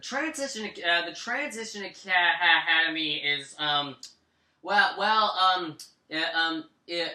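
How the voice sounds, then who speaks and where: A man's raised, projected voice with an American accent, high in pitch, with lively intonation, a fairly slow pace and long, frequent pauses. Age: 20s. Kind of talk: interview. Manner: halting, heavy repetition.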